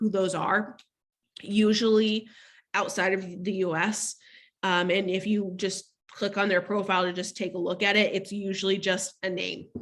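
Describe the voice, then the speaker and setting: A normal speaking voice from a woman, moderate in pace and medium in pitch. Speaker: law firm marketing director, workshop presenter. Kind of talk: webinar presentation. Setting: video call.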